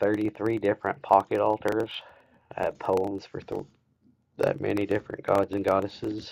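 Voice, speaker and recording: In a Kentucky accent, a man talks at a moderate pace, the sound dry and close with no echo. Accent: Kentucky Southern. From US South, rural Kentucky. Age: 20s. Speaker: woodcarver streamer. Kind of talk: live stream tutorial. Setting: live stream.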